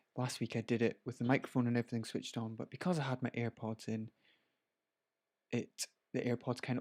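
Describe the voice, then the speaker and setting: A man with a Scottish accent talks at a fairly quick pace, on a very clean recording with a silent background and a dry, close sound with no echo. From Scotland. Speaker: photographer. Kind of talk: live stream tutorial. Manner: casual, chatty.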